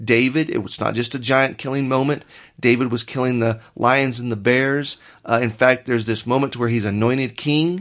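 A man with a normal speaking voice talks at a moderate pace and medium pitch, his intonation fairly even against a quiet background. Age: 40s. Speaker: pastor. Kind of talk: casual chat.

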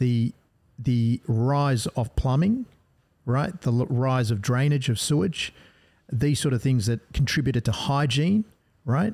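On a very clean recording with a silent background and a dry, close sound with no echo, a man speaks at a medium pitch and a fairly slow pace, somewhat breathy, with very even loudness, ordinary pitch variation, and long, frequent pauses. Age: 40s. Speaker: gastroenterologist. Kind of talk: podcast interview.

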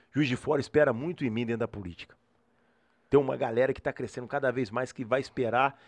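Against a quiet background, the speech moves at a very fast pace with fairly even intonation. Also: man, medium pitch for a man. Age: 40s. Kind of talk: casual interview chat.

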